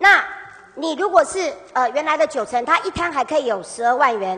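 Over noticeable background noise, a woman with a Taiwanese accent speaks fairly quickly at a high pitch with very wide pitch swings. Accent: Taiwanese Mandarin. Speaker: city councillor. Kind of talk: council interpellation. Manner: combative.

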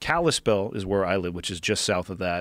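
On a very clean recording with a silent background, a man talks with fairly even intonation. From California. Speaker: podcast host and military veteran. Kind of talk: casual chat.

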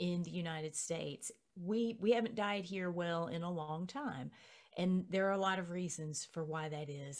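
A woman speaks at a moderate pace with a fairly low pitch. Her pitch varies in an ordinary way against a quiet background. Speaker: podcast guest. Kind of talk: interview answer. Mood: earnest, reflective. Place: home room.

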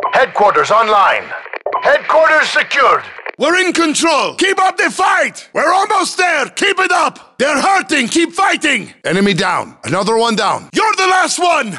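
A man uses a raised, projected voice at an extremely high pitch, with very wide pitch swings and very even loudness. He goes at a fairly slow pace amid noticeable background noise. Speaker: video game announcer voice. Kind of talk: video game announcer callouts. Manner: clipped, military.

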